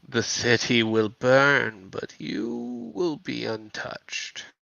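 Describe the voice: A man does a put-on character voice at a medium pitch, drawing his words out at a very slow pace.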